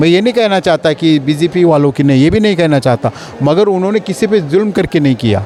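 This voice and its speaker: Over noticeable background noise, a man with a high voice speaks at a moderate pace with lively intonation, very even loudness and hardly any pauses. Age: 60s. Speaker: local politician interviewed in street poll. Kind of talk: street interview. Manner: animated.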